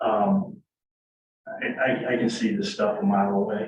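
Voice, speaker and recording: A man's voice with audible room echo. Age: 60s. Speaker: board candidate, retired civil engineer. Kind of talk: public meeting Q&A. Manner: halting, many repetitions and fillers.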